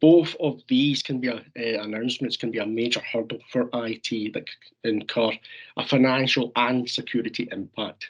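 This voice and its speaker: A man talks with a Scottish accent and fairly even intonation. The background is quiet. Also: medium pitch for a man, moderate pace. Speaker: software sales representative. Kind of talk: webinar presentation.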